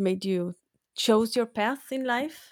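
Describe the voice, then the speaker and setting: An unremarkable speaking voice at a fairly slow pace, with a dry, close sound and no echo. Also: woman. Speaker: podcast host. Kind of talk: interview.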